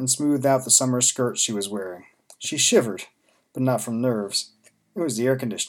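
Over a quiet background, a natural reading voice carries ordinary pitch variation.

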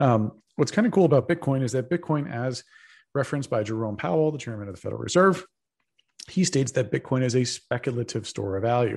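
A man with an American accent, somewhat breathy, at a very fast pace. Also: medium pitch for a man, lively intonation. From Texas. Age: 30s. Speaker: crypto investor and commentator. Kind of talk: interview. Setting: video call.

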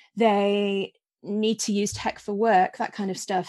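A woman with a Yorkshire accent speaks at medium pitch against a quiet background. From Yorkshire, Scarborough. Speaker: author. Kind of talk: casual interview chat.

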